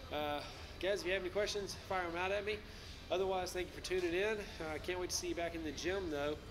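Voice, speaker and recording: A man's high-pitched voice with fairly even intonation, faint music in the background. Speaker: fitness coach. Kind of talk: workout tutorial. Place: gym. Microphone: camera far.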